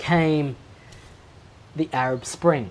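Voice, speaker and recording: A woman talks in a very deep, low voice with an Australian accent. Her intonation is lively. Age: 30s. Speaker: aspiring Islamic scholar. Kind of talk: casual chat. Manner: articulate.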